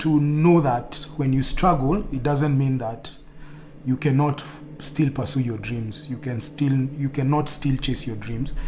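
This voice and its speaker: This man has a fairly high pitch and a plain, everyday voice. He talks at a moderate pace. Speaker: streamer. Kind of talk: casual chat.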